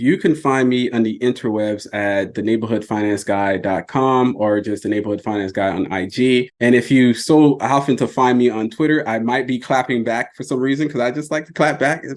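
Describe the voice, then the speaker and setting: In an American accent, a man with an ordinary speaking voice talks at a medium pitch and moderate pace, with ordinary pitch variation and hardly any pauses. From US South. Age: 40s. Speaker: personal finance content creator. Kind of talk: podcast interview.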